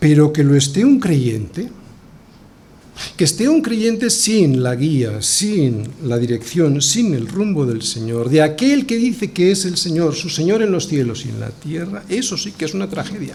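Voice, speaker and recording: Audible room echo surrounds a man speaking at a fairly slow pace. His fairly high pitch moves in very wide swings. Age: 60s. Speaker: pastor. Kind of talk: sermon.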